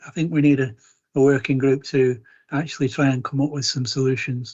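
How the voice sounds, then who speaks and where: The delivery is somewhat breathy, with fairly even intonation and a fairly quick pace. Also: man. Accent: Lancashire. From Chorley, Lancashire. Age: 60s. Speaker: councillor. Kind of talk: council meeting debate.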